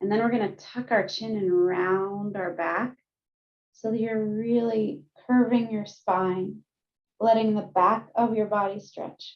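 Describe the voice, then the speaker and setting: A woman's fairly high-pitched voice, fairly even in intonation, at a fairly slow pace. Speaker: counselor. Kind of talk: guided meditation. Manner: gentle.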